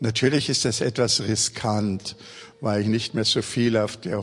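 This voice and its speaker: This man talks rather slowly. His delivery stays monotone, with flat intonation. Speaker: pastor. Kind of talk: sermon.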